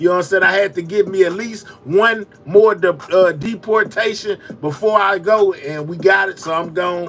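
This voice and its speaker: Over noticeable background noise, a man with a Texas accent speaks at a moderate pace in a high, animated voice with big swings in loudness. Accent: Texas speech, criticized by chat. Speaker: live-stream news commentator. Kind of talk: casual live-stream chat, sign-off. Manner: casual, animated.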